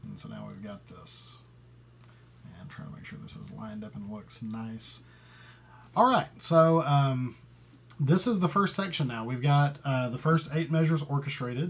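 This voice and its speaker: At a moderate pace, a man speaks in a somewhat breathy voice with ordinary pitch variation and big swings in loudness. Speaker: composer. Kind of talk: tutorial. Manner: hesitant, many fillers; thinking aloud while working. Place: home room. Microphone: webcam.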